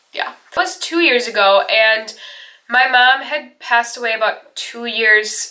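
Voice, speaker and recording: Her voice is fairly high, and the woman's pitch varies in an ordinary way. Noticeable background noise can be heard. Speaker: beauty and lifestyle vlogger. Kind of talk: personal vlog, heart-to-heart. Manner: casual, hesitant.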